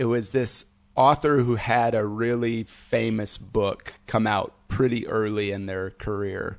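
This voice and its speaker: The speaker is a man with a Midwestern American accent. He talks at a fairly slow pace. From US Midwest (Fort Wayne, Indiana). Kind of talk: casual chat. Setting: studio.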